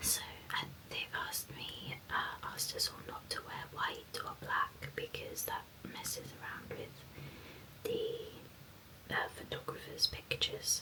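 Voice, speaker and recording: Someone whispers in a calm, gentle tone at a very slow pace, with noticeable background noise. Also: woman. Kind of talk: whispered ASMR ramble to camera while painting nails. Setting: close-mic studio recording. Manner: soft-spoken, calm, gentle, unhurried.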